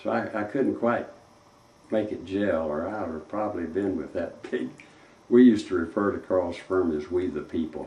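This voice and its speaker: In a Texan accent, a man speaks in a very deep, low pitch with lively intonation and audible room echo. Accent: Texan Southern US. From East Texas (Tyler). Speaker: retired civil engineer. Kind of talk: interview reminiscence. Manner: slow; halting.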